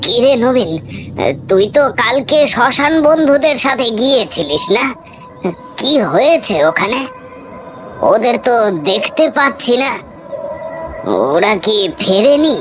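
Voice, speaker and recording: Over clear background noise, a man in a cartoonish character voice speaks at a fairly slow pace and extremely high pitch, with lively intonation and very even loudness. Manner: urgent, anxious.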